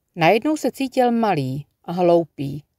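In a very clean recording with a silent background, a voice with a gentle tone speaks at a very slow pace. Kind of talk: audiobook reading aloud of a literary story. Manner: lyrical, unhurried narration with gentle pacing, hushed and dreamy in the nature passages.

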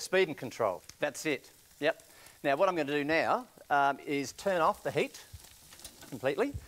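An enthusiastic man with an Australian accent and lively intonation, at a moderate pace with long, frequent pauses. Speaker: chef. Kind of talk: cooking demonstration. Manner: casual, enthusiastic. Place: studio. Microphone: lapel.

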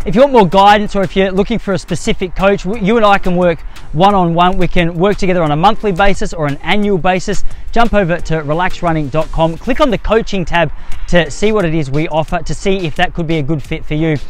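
A man's high voice at a very fast pace, with ordinary pitch variation and a dry sound free of echo. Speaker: running coach. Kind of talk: tutorial. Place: open country.

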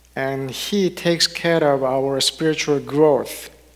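A man at a very slow pace. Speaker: minister giving a sermon. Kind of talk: sermon to a congregation. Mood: warm, gentle. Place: church. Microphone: headset.

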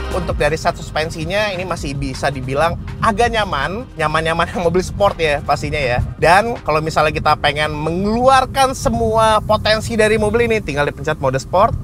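A man speaks over clear music in the background, with a dry sound and no echo. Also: fairly quick pace. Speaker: car reviewer. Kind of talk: car review commentary. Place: car.

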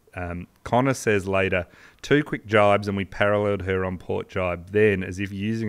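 Over a quiet background, a man with an Australian accent talks at a moderate pace in a fairly low voice with fairly even intonation. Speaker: podcast co-host, sports history storyteller. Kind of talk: casual storytelling chat; storytelling podcast narration. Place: studio. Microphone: studio mic.

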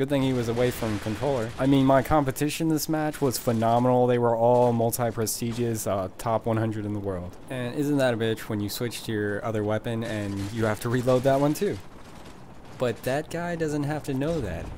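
Pitched in the medium range, a man talks at a fairly quick pace. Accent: American. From US. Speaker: gaming commentator. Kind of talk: stand-up style comedic gaming commentary with jokes and riffs over gameplay. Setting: recorded voiceover over video game footage. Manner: deadpan, sarcastic, quick-witted joke delivery; animated, mock-enraged.

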